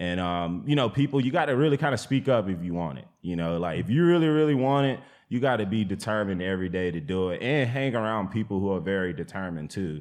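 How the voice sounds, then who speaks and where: Talking at a very fast pace, a man with a fairly low pitch moves through very wide pitch swings. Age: 30s. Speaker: plant nursery farmer. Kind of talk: casual interview conversation.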